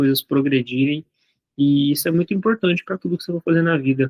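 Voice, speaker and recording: A man speaks with a fairly high pitch and fairly even intonation. The sound is dry and close, with no echo. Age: 20s. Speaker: entrepreneur and content creator. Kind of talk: casual monologue vlog. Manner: fast; halting, with false starts.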